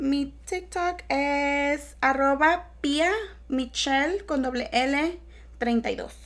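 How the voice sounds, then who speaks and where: At a very slow pace, a woman speaks at a high pitch with ordinary pitch variation. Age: 20s. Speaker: podcast guest. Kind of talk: casual chat.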